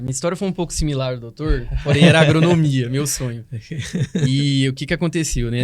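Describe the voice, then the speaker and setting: Here a man talks at a fairly quick pace with a medium pitch. His intonation stays fairly even. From Goiânia, Brazil. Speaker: hospital dentist. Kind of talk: podcast interview.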